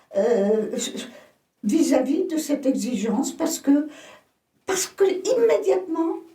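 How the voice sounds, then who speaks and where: Speaking at a very slow pace, a woman with a high pitch and a dark, mellow tone lets her voice swing very widely in pitch. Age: 80s+. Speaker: yoga teacher. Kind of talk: interview answer.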